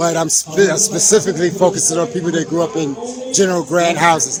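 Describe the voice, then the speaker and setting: A man speaks at a moderate pace with a high-pitched voice. Noticeable background noise runs behind him. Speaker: documentary maker. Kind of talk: street interview.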